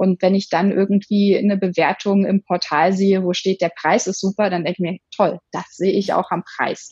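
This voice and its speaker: The voice is somewhat breathy and monotone at a moderate pace. The sound is dry and close with no echo. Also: woman, medium pitch for a woman. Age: 30s. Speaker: sex blogger. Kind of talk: casual interview.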